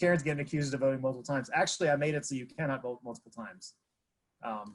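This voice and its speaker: A man at a very fast pace, somewhat breathy, with a fairly high pitch. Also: ordinary pitch variation. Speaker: solutions lead presenting at a user group. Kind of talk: presentation. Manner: hesitant, many fillers.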